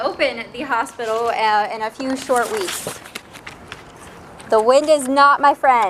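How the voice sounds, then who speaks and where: A woman speaks at a fairly slow pace with a high pitch. Noticeable background noise is present. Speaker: hospital executive. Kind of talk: ceremony speech. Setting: outdoors with PA system. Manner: projecting voice. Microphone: quiet speakers.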